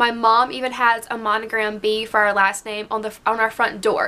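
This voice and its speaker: A woman talks at a moderate pace with an American accent. Her tone is bright and sharp. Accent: Southern accent, toned down in these videos. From US South. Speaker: beauty vlogger. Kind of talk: casual chat. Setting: alone at home filming.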